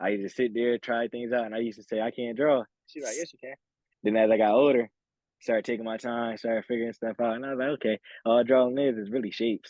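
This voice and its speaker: At a very fast pace, a man speaks with medium pitch and monotone, flat intonation. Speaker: college football player, draft prospect. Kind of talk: interview. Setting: video call. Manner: talkative, rambling; relaxed, casual.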